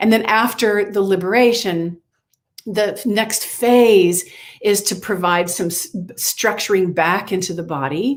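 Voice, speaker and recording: The speaker is a woman with a medium pitch. There is ordinary variation in her pitch. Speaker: movement and dance teacher, author. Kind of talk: podcast interview. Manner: halting with frequent repetitions.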